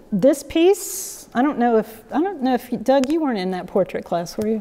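This woman speaks with an American accent and a dark, mellow tone. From South Carolina. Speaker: painter, sculptor and art teacher; art teacher. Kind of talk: artist talk to an audience. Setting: gallery with live audience. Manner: halting, many fillers. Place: hall.

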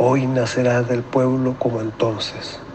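At a very slow pace, a man of medium pitch talks in a monotone, flat way over noticeable background noise. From Chile. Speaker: engineer and amateur narrator. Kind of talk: poetry reading.

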